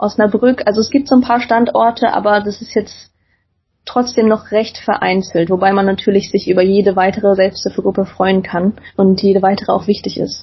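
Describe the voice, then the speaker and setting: A woman with a medium pitch speaks in a somewhat breathy voice, her intonation fairly even. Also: moderate pace. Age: 20s. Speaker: student and skin-picking patient. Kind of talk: interview.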